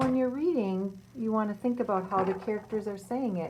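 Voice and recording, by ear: In a natural voice, the text is read aloud with ordinary variation in pitch.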